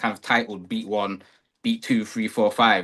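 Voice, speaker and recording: A man with an East Midlands accent talks at a fairly quick pace. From England, Nottingham. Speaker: rapper. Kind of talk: casual chat.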